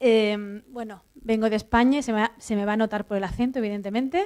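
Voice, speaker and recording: A woman with an Andalusian accent, fairly high-pitched, at a moderate pace with fairly even intonation. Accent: Andalusian Spanish, drops s sounds. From southern Andalusia, Spain. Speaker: university professor. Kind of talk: conference talk. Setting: auditorium with audience. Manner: many fillers and restarts.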